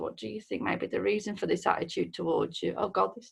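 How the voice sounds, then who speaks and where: A woman with a strong Midlands accent speaks at a moderate pace. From English Midlands, near Birmingham. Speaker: mental health worker. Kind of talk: recorded questionnaire answers. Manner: hesitant, many fillers.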